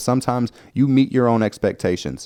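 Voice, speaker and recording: In a very clean recording with a silent background, a man talks with a Southern US accent. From US South. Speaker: podcast host. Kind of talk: casual podcast monologue. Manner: conversational, filler-heavy.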